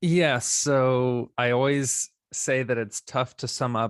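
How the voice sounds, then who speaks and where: There is no echo, just a dry, close sound. Behind the voice the background is silent, and the recording is very clean. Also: man. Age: 30s. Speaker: mental health advocate and heavy metal vocalist. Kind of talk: casual interview. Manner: animated.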